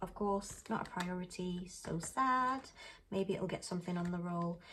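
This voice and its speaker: Soft-spoken, a woman talks with a British accent at medium pitch. Her tone is bright and sharp. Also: ordinary pitch variation, moderate pace. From UK. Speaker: budgeting vlogger. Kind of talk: casual talk-through tutorial.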